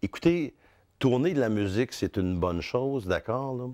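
A man speaks with a Quebec accent and lively intonation against a quiet background. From Quebec, Outaouais (Hull). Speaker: radio host. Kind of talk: interview. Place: studio. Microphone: lapel.

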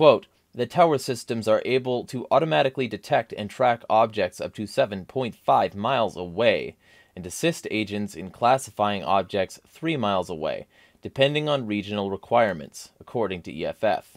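Against a quiet background, a man talks at a moderate pace, his loudness swinging widely. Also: lively intonation. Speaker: political vlogger. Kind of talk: commentary reading an article. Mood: angry, emphatic. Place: home room. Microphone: studio mic.

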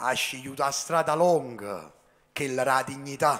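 The intonation is fairly even. This man delivers his words at a fairly slow speed. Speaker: slam poet. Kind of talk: slam poetry performance in dialect. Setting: stage performance. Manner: rhythmic, impassioned, emphatic. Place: stage. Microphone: handheld.

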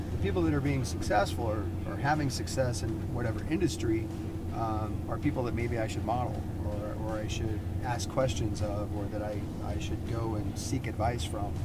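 Over loud background noise, a man speaks with ordinary pitch variation. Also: moderate pace. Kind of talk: casual conversation. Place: car.

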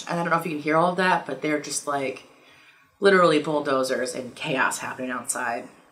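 Very fast speech comes from a woman with a very deep, low pitch. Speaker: tarot reader vlogger. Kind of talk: casual vlog chat. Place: home room.

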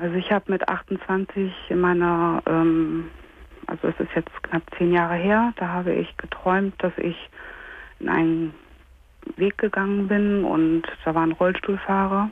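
In a dry recording with no echo, a woman with a fairly low pitch speaks at a fairly slow pace, monotone and flat, with very even loudness and long, frequent pauses. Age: 30s. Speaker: caller. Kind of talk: phone-in call, personal testimony. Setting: phone call. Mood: hesitant, painful personal disclosure. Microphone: phone line.

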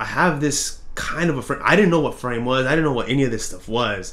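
A man speaks at a fairly quick pace with lively intonation. His tone is fairly bright. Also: medium pitch for a man.

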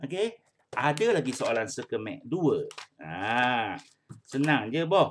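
Over light background noise, a man with a fairly high pitch speaks at a very slow pace with very wide pitch swings. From Malaysia. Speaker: primary school English teacher. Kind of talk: online class lesson. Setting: video call. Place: home room. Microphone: webcam.

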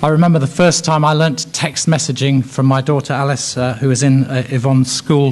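With an English accent, a man talks at a fairly quick pace with hardly any pauses, very even loudness and fairly even intonation. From England. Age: 50s. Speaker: education policy expert. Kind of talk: lecture. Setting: stage with audience. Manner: hesitant with fillers. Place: hall.

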